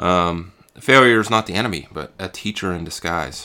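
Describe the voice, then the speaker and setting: A man with a very deep, low pitch and a bright, sharp tone talks at a moderate pace with ordinary pitch variation. The recording is very clean, with a silent background. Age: 40s. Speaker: podcast host. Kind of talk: solo motivational talk. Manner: halting with many fillers.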